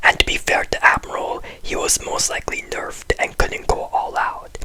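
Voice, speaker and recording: The speaker whispers at a moderate pace. Noticeable background noise is present. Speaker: anime commentary youtuber. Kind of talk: video essay commentary. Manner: very quiet.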